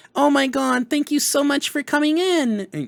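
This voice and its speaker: This is a put-on character voice. Its pitch is high. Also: moderate pace. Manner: gushing, effusive.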